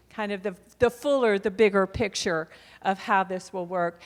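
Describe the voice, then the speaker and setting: At a moderate pace, we hear an unremarkable speaking voice. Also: woman. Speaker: adult education program representative. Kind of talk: conference presentation.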